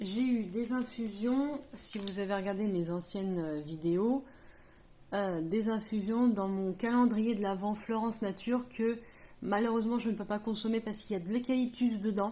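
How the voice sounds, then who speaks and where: The voice moves at a moderate pace. It is somewhat breathy with a dark, mellow tone. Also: woman, fairly high pitch for a woman, ordinary pitch variation. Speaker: craft tutorial youtuber. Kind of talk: tutorial. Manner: hesitant, many fillers.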